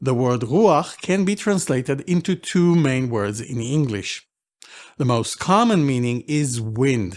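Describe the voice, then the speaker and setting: The speaker's pitch swings very widely, with an Israeli accent. The pace is fairly slow. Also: man, medium pitch for a man. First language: Hebrew. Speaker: Bible language teacher. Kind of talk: lecture. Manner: formal.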